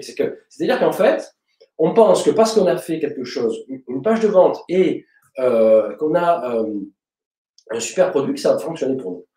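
A man's medium-pitched voice, dark and mellow in tone, with lively intonation and audible room echo

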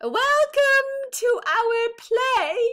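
It's a put-on character voice pitched extremely high. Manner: raising voice, trying to be heard.

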